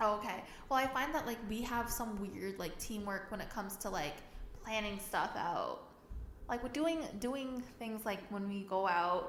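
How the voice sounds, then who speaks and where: In a room with audible echo and noticeable background noise, a woman with a Canadian accent talks at a moderate pace, her pitch fairly high with ordinary variation. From Canada, Mississauga, Ontario. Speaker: podcast co-host. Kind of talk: casual chat. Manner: hesitant, many fillers.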